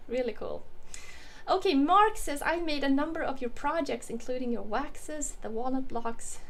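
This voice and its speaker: A woman speaks with lively intonation at a moderate pace. Her voice carries audible room echo. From Sweden. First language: Swedish. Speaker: woodworking YouTuber. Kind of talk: casual livestream Q&A. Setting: home workshop, livestream. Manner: casual, hesitant with many fillers.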